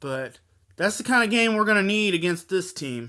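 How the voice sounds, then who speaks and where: A man speaks in a raised, projected voice at a moderate pace, pitched high with lively intonation. His tone is bright and sharp, and the recording is very clean over a silent background. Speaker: sports vlogger. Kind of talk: casual sports preview vlog. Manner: speech impediment; halting.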